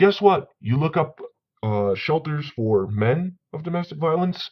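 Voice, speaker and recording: A man's fairly high voice at a fairly slow pace, with very wide pitch swings. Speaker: vlogger on men's issues. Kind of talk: commentary vlog reading sources. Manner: stuttering when heated.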